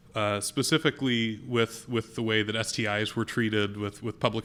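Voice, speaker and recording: A man's plain, everyday voice, medium-pitched, with fairly even intonation and a fairly quick pace, on a very clean recording with a silent background. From US South. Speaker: public health lab director. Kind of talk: conference talk.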